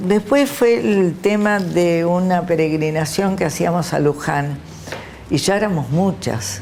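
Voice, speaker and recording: Over noticeable background noise and audible room echo, a woman speaks fairly slowly at a fairly low pitch, with lively intonation and very even loudness. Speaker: human rights activist. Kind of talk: interview testimony.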